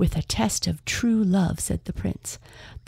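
Just a natural reading voice

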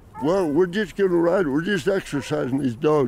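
A man with an American accent speaks in very wide pitch swings over noticeable background noise. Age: 80s+. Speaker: rancher and mountain lion hunter. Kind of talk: casual interview. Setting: outdoors on a ranch. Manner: halting.

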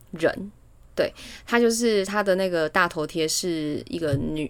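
Speaking at a fairly slow pace, a woman uses a medium pitch and lively intonation. The recording is very clean, with a silent background. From Taiwan. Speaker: podcast co-host. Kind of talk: casual chat. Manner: laughs often.

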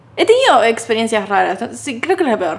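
A woman with a Rioplatense accent speaks at a fairly quick pace with lively intonation, noticeable background noise behind her. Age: 20s. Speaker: podcast co-host, content creator and video editor. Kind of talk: casual chat.

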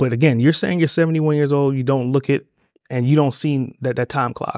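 A man's normal speaking voice at medium pitch with fairly even intonation, dry and close with no echo. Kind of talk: casual interview. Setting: in-person interview in Tokyo.

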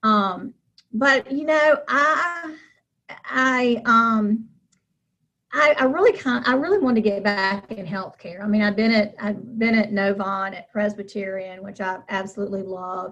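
Big swings in loudness run through an ordinary speaking voice that moves at a fairly slow pace with ordinary pitch variation. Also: woman, fairly high pitch for a woman. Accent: American. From North Carolina, Charlotte. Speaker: nonprofit consultant and fundraiser. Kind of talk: interview.

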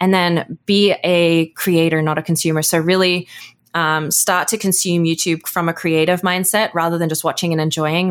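In an Australian accent, a woman speaks at a fairly quick pace with a fairly low pitch and monotone, flat intonation. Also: very even loudness. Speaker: entrepreneur and YouTube educator. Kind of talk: interview.

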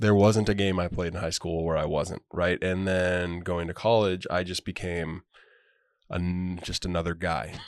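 Someone with an American accent speaks at a moderate pace with fairly even intonation against a quiet background. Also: man, very deep, low pitch for a man. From Montana (Great Falls). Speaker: professional basketball player. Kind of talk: casual chat. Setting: studio.

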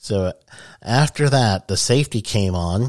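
A man talks fairly slowly in a fairly low voice with ordinary pitch variation. The recording is very clean, with a silent background. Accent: American. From US Northeast (Queens, New York). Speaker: podcast host, safety consultant. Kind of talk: podcast storytelling monologue. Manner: casual, laughs often.

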